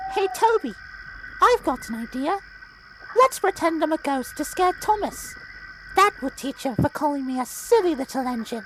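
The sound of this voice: An extremely high-pitched, put-on character voice swings very widely in pitch at a moderate pace. Long, frequent pauses break it up amid clear background noise.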